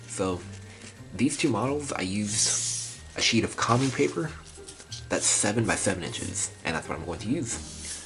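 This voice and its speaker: A man with a fairly low voice speaks at a moderate pace with very wide pitch swings, over background music and audible room echo. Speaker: origami instructor. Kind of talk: tutorial. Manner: casual, conversational.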